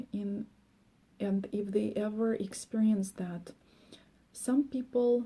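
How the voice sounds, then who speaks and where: A woman with a Russian accent, somewhat breathy, at a medium pitch, with a dark, mellow tone, fairly even intonation and a very slow pace. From former Soviet Union. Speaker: life coach. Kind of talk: monologue. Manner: hesitant, many fillers.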